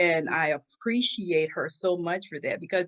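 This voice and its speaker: This is an ordinary speaking voice, and its pitch variation is ordinary too. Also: woman. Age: 60s. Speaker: domestic violence survivor and author. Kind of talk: interview testimony.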